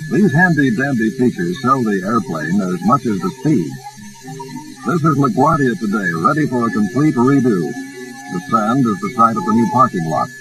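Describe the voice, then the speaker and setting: Music plays behind a man speaking at medium pitch. His pitch swings very widely, and his pace is moderate. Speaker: newsreel narrator. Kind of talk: vintage newsreel narration. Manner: upbeat.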